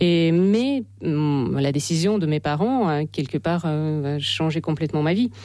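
At a moderate pace, the voice moves with lively intonation and carries a dark, mellow tone. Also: woman, low pitch for a woman.

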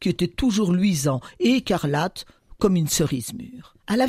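Lively intonation runs through this natural-voiced reading aloud.

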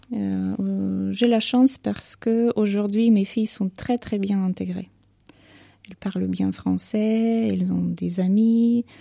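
A woman speaks at a medium pitch with a dark, mellow tone and vocal fry. Her intonation is fairly even, her pace fairly slow, and the sound dry and close with no echo.

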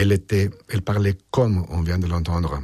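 A man speaks at a low pitch and a fairly slow pace. His tone is slightly mellow with a slightly husky edge.

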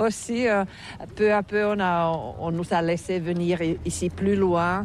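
A woman talks fairly slowly, keeping her intonation fairly even. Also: fairly low pitch for a woman.

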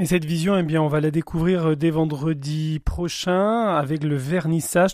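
Speaking at a fairly slow pace, a man has a fairly high pitch and a slightly mellow tone.

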